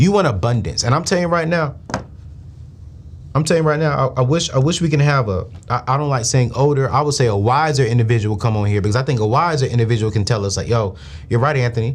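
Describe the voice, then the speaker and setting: At a very fast pace, a man talks in an animated tone with lively intonation. His medium-pitched voice is somewhat breathy. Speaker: finance show host. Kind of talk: live call-in show.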